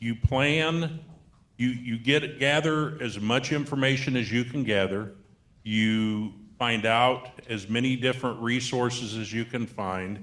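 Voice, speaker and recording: A man's ordinary speaking voice, medium in pitch, at a fairly slow pace with ordinary pitch variation. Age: 60s. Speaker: state aging-services program representative. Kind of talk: seminar panel Q&A.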